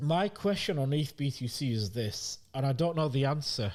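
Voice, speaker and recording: On a very clean recording with a silent background, a man speaks at a moderate pace with fairly high pitch. His voice is somewhat breathy and his intonation lively. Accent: British. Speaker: crypto market analyst. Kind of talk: market review livestream. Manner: casual, conversational.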